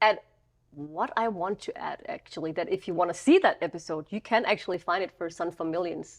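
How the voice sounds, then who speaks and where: Against a quiet background, a voice with a Danish accent moves at a fairly quick pace with ordinary pitch variation. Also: woman, fairly low pitch for a woman. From Denmark, Copenhagen. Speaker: podcast co-host. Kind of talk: casual chat. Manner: stumbling over words.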